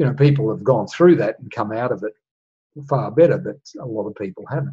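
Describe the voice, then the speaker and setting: A man talks fairly quickly in a dark, mellow, somewhat breathy tone at fairly high pitch, with ordinary pitch variation and big swings in loudness. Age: 60s. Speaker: astrology and human design teacher. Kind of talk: solo monologue talk.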